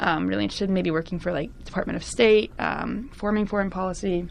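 A woman speaks with a Californian accent. Her pace is fairly quick. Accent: Californian American English. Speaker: university student. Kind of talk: casual interview. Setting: studio.

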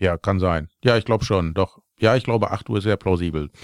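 Very deep and low in pitch, a man talks at a moderate pace with ordinary pitch variation, the sound dry and close with no echo on a very clean recording over a silent background. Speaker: car workshop worker and podcast co-host. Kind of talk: casual chat.

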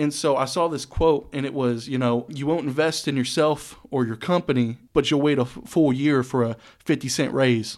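An unremarkable speaking voice from a man with an American accent, fairly high-pitched, at a moderate pace with hardly any pauses and fairly even intonation, on a very clean recording with a silent background. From Texas (Saginaw area, north Texas). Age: 20s. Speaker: DJ and producer. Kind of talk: casual chat.

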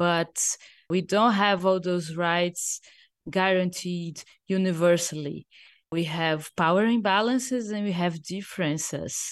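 Speaking fairly slowly with a Portuguese accent, a woman uses a fairly low pitch and ordinary pitch variation. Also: quiet background. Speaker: digital rights activist. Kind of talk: interview.

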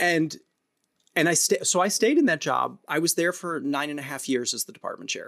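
A man talks at a fairly quick pace with an American accent. His loudness swings widely. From US Midwest, St. Louis area (North County). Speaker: theater director and arts educator. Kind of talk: interview conversation. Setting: video call.

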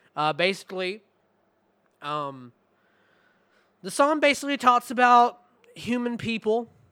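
A man uses a raised, projected voice with a bright, sharp tone, very wide pitch swings and a very slow pace. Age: 20s. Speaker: music podcast host. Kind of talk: album review.

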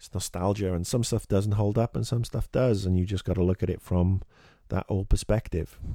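In a British accent, a man speaks with a dark, mellow tone on a very clean recording with a silent background. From England. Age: 40s. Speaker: podcast host. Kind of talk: casual monologue. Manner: animated.

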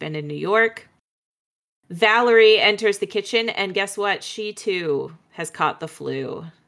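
A woman's plain, everyday voice, medium-pitched and fairly slow, with lively intonation on a very clean recording against a silent background. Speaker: podcast host. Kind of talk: casual chat.

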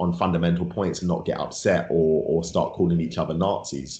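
A man with a London accent speaks with a very deep, low pitch. His pace is moderate. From London, England. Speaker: rapper and author. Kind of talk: interview, casual chat.

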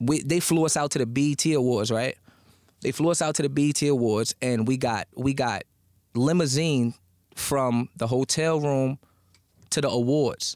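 A man with an American accent and an unremarkable speaking voice, fairly high in pitch, at a moderate pace with fairly even intonation and very even loudness, dry and close with no echo. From Newark, New Jersey. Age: 20s. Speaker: battle rapper. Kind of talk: casual interview chat.

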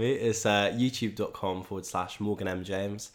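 A man uses a normal speaking voice with a fairly low pitch, a moderate pace and fairly even intonation. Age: young. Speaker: musician and YouTuber. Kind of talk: casual chat.

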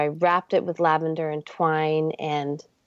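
Here a woman has an ordinary speaking voice with fairly even intonation. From Canada. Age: 40s. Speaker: artist and author. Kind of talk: interview. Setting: remote call.

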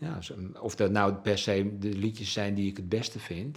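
At a moderate pace, a man talks in a fairly low pitch with an ordinary speaking voice. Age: 60s. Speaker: musician and journalist. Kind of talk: interview. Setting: at home.

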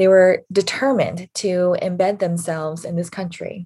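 Speaking at a fairly slow pace, a woman has a medium pitch and a dark, mellow tone that is somewhat breathy. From US, Korean immigrant family. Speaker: pastor. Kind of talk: sermon.

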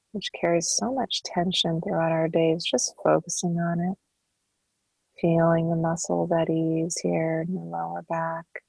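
A woman with a soothing tone and a fairly slow pace, recorded dry and close with no echo, over music in the background. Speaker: meditation guide and intuitive counselor. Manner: slow, unhurried pacing with long flowing run-on sentences, lingering on each body part; soft, soothing and calming, coaxing the listener to melt and sink into relaxation.

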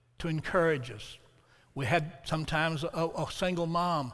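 Fairly even intonation with an Alabama accent. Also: man. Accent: Southern US (Alabama). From US South. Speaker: preacher. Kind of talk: sermon. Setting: church with congregation.

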